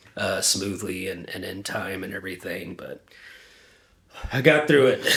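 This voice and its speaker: A man at a moderate pace with lively intonation and big swings in loudness, over noticeable background noise. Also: fairly low pitch for a man. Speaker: independent musician. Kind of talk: interview. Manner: halting, many fillers.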